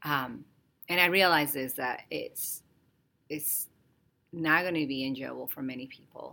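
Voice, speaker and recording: Speaking in a Spanish accent, a woman with a very deep, low voice and a bright, sharp tone moves at a fairly slow pace with vocal fry, fairly even intonation, big swings in loudness, and long, frequent pauses. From Dominican Republic. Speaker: podcast co-host, developmental therapist. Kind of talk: casual conversation.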